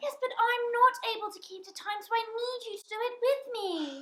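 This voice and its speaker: A woman's put-on character voice, squeaky and extremely high, at a moderate pace with ordinary pitch variation. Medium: stage play. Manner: eager, innocent.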